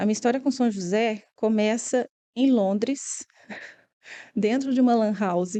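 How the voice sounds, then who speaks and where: Speaking in a Minas Gerais accent, a woman has a dark, mellow tone at a fairly high pitch, with fairly even intonation and very even loudness. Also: fairly slow pace. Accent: Minas Gerais (mineiro). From Brazil, Minas Gerais (Belo Horizonte). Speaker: interior designer. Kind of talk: podcast interview.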